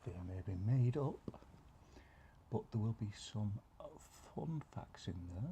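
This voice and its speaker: Soft-spoken and relaxed in tone, a man with a somewhat breathy, dark, mellow voice at medium pitch talks very slowly with very wide pitch swings. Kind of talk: ASMR soft-spoken reading of random facts. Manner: soft-spoken, relaxed.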